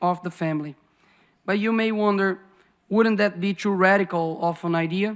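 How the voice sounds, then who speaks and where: Speaking with a Brazilian Portuguese accent, a man uses a high pitch and fairly even intonation. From Brazil, Belo Horizonte. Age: 20s. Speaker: politician. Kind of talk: speech.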